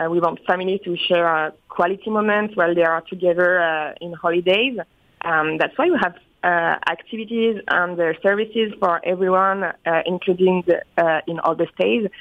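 Fairly low in pitch, a woman speaks with fairly even intonation. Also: moderate pace. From France. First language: French. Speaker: resort company PR manager. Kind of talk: interview. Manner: halting.

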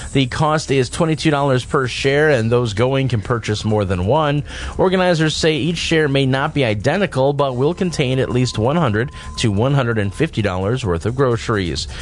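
Over noticeable background noise, a man speaks fairly slowly at a medium pitch. His intonation is lively while his loudness stays very even. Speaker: news reader and co-host. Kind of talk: radio news reading and banter.

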